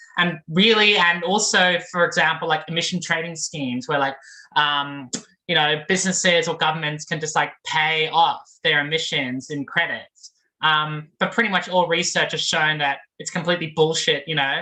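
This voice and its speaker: Her tone is bright and sharp, with a fairly low pitch, in an Australian accent. The woman talks at a moderate pace with fairly even intonation. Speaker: graduate student activist. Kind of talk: panel talk. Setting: video call. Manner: casual, many fillers.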